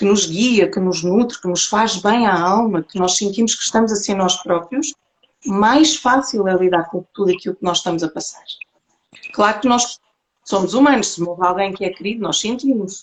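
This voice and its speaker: A woman with a European Portuguese accent speaks at medium pitch. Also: ordinary pitch variation, moderate pace. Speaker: holistic therapist. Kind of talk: interview talk on spirituality.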